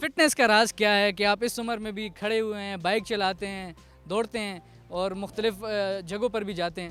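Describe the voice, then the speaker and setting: Music plays behind a man whose high-pitched voice swings widely in loudness. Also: fairly even intonation. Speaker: news anchor. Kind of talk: interviewer questions.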